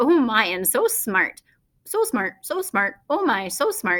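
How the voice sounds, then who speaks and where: Using a put-on character voice, a woman speaks at a high pitch and a fairly slow pace. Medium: read story. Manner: repetitive, squawking parrot talk.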